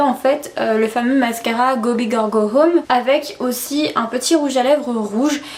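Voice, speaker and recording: Noticeable background noise runs under this recording. A woman speaks at a high pitch with ordinary pitch variation. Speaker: beauty youtuber. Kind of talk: product haul video. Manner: speaks strangely, slurred; animated.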